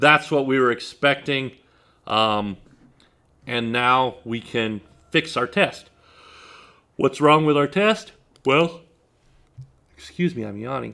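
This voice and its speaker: A very slow, lively-intoned man's voice at a medium pitch, bright and sharp in tone, with long, frequent pauses and a very clean recording over a silent background. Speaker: test automation instructor. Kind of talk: tutorial.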